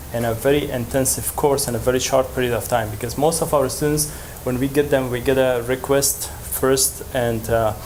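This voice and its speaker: With an Afghan accent, a man speaks at a medium pitch with ordinary pitch variation, amid audible room echo and noticeable background noise. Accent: Afghan (Dari) accent in English. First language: Dari. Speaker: language educator. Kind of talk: conference presentation. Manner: halting, many fillers.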